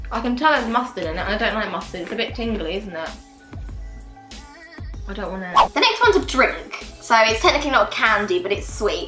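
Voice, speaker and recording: Over clear background music, a woman with a fairly high voice talks at a very fast pace, broken by long, frequent pauses. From British. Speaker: vlogger. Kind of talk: casual talk to camera. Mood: mildly disgusted, playful. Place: home room.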